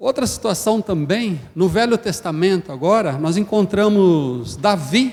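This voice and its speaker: A man speaks at a high pitch with lively intonation. His pace is very slow. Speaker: preacher. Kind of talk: sermon.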